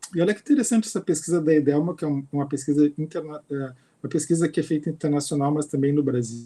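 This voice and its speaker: Somewhat breathy and dark, mellow in tone, a man's fairly high voice races along at a very fast pace. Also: ordinary pitch variation. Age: 50s. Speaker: university professor and researcher. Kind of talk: lecture.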